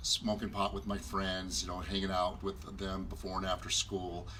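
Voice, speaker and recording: A man with a very deep, low pitch and a Southwestern US accent at a fairly quick pace, amid noticeable background noise. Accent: US Southwest American. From Arizona, Glendale area. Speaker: marriage ministry co-host. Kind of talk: personal testimony. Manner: hesitant, many fillers.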